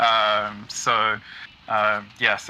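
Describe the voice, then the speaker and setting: A man with an American accent, with noticeable background noise. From Britain. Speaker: game music composer. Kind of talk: interview on livestream. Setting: video call.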